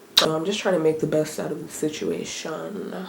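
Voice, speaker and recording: Noticeable background noise surrounds a woman talking at a moderate speed. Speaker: vlogger. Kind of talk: casual vlog talk.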